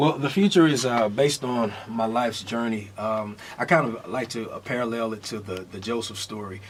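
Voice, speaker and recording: A medium-pitched man with ordinary pitch variation and hardly any pauses, amid noticeable background noise. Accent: American. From Houston, Texas. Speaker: gospel singer. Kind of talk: radio interview. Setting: studio. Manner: animated.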